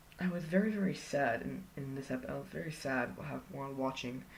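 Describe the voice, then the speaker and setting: A raspy, put-on character voice delivered at a fairly quick pace. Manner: stuttering, stumbling over words.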